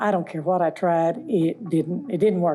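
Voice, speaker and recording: Her voice is dark and mellow, at a medium pitch with ordinary variation and a moderate pace. The woman is recorded very cleanly against a silent background. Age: 70s. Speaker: dental patient. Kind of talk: testimony. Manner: loud.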